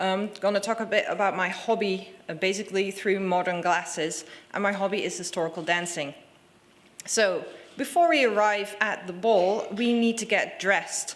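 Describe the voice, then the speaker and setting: A woman with a Dutch accent, medium in pitch, at a moderate pace with ordinary pitch variation. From Netherlands. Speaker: conference speaker. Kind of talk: short presentation.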